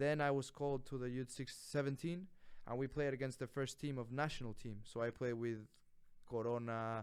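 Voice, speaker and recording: A man speaks with a Spanish accent at a moderate pace, his pitch medium. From Mexico. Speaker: college soccer player. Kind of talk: casual interview. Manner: animated.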